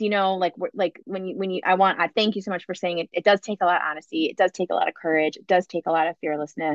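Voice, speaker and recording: The speech comes at a very fast pace with big swings in loudness and fairly even intonation. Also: woman, medium pitch for a woman. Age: 40s. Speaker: wellness leader and former yoga teacher. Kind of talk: casual chat.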